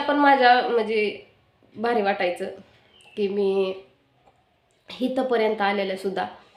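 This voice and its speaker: A woman speaks with a fairly high pitch. Audible room echo surrounds her voice. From rural Maharashtra, India. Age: 30s. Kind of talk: personal life story vlog.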